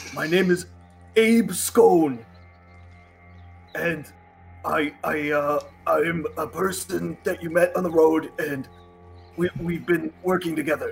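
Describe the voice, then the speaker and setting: A man does a raspy, put-on character voice at a high pitch. Clear music plays in the background. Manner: put-on changed voice.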